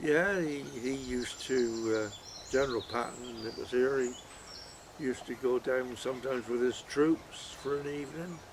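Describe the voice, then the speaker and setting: Over noticeable background noise, a man speaks with fairly even intonation and a rural West Country accent. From Heddington, Wiltshire, England. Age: 80s+. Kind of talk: interview answer.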